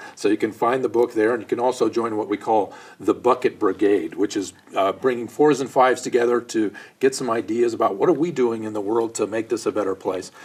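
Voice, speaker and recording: A man talks with a General American accent. His pace is fairly quick. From US Midwest (Ohio, Michigan). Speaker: poet and author, former actor. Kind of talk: interview.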